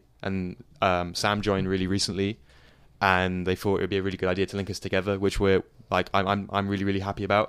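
Very fast, flat, monotone delivery from a man with a British accent and a fairly low pitch, on a very clean recording with a silent background. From England, London suburbs. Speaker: DJ and producer. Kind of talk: casual interview. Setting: studio. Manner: hesitant, many fillers.

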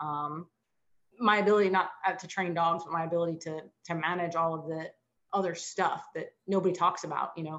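A woman at a fairly low pitch, fairly quick in pace, with monotone, flat intonation. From South Jersey. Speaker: former police dog handler, dog trainer. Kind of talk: interview.

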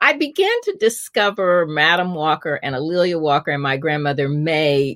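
A woman with an American accent has a very deep, low pitch. The recording is very clean, with a silent background. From US Midwest, Indianapolis. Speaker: journalist and author. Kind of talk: interview conversation.

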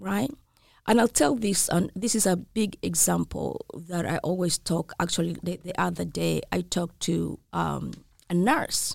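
At a fairly slow pace, the voice comes through a very clean recording with a silent background and a dry, close sound with no echo. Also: woman. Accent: American. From outside the US. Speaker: nurse practitioner and nursing instructor. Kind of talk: interview.

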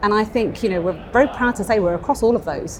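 A woman talks at a fairly quick pace in an ordinary speaking voice, with ordinary pitch variation. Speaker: bank innovation executive. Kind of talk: interview. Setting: live event venue.

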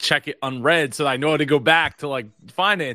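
A man with a Philadelphia accent, animated and bright, sharp in tone, with a dry, close sound and no echo. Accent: Philadelphia-area American. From US Northeast (South Jersey, Philadelphia area). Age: 30s. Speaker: business strategist, interview host. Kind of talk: casual interview.

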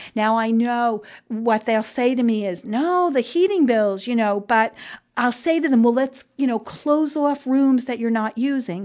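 A woman with a New Jersey accent speaks at a fairly slow pace in a high pitch, with ordinary pitch variation. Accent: New Jersey, noticeable. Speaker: elder care expert and podcast host. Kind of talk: casual chat, podcast monologue. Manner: chatty, hesitant with many fillers.

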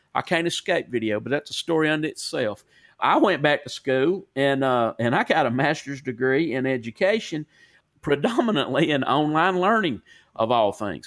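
With a Southern US accent, a man talks at a moderate pace in a fairly high voice with lively intonation, recorded dry and close with no echo. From US South. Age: 40s. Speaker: podcast host. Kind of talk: casual chat. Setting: remote call. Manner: animated.

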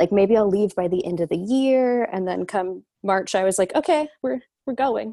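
A woman speaks in an ordinary speaking voice with medium pitch and lively intonation. She keeps a moderate pace with hardly any pauses. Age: 20s. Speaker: life and career coach. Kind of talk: casual interview chat.

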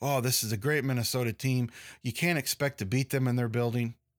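In a plain, everyday voice, a man speaks at a medium pitch with fairly even intonation, the sound dry and close with no echo on a very clean recording with a silent background. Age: 40s. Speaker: sports podcast host. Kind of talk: solo sports commentary podcast. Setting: studio.

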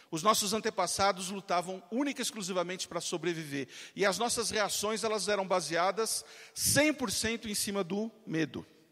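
His voice is high-pitched for a man, bright and sharp in tone, and animated. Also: ordinary pitch variation. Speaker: marketing entrepreneur and motivational speaker. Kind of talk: motivational talk. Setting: stage with audience. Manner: fast.

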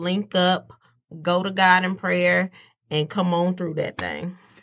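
The recording is very clean with a silent background as a woman talks at a fairly slow speed. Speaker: host's wife. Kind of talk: casual chat. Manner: soft-spoken.

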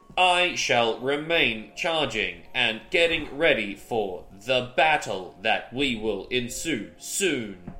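Over music in the background, a man does a robotic put-on character voice at a medium pitch, very slow and with hardly any pauses. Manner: stiff, formal.

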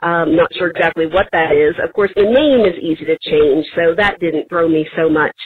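A woman's fairly low voice at a moderate pace, with very even loudness, ordinary pitch variation, hardly any pauses and noticeable background noise. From Tennessee. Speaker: voicemail caller. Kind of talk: voicemail message.

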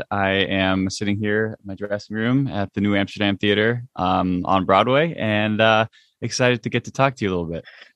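A man talks at a fairly quick pace and a fairly low pitch with fairly even intonation, in a dry, close sound with no echo. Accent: New Jersey. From central New Jersey, US. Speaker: Broadway actor and singer. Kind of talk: interview. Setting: in theater dressing room. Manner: halting, many fillers.

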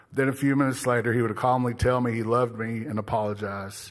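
Speaking with an American accent, a man goes at a very fast pace. His pitch is medium and his intonation fairly even. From southeastern Oklahoma, US. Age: 40s. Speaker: recovering addict. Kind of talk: testimony.

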